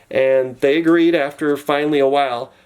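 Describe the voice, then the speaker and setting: A man talks at a fairly high pitch. Noticeable background noise runs behind him. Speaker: vlogger sharing personal dental costs. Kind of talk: casual vlog walkthrough of a bill. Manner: fast.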